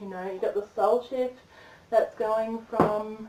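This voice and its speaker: A woman at a medium pitch speaks at a fairly slow pace. Her intonation stays fairly even over noticeable background noise. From Australia, Brisbane. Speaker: tarot reader. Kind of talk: livestream tarot reading. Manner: casual, rambling chatty.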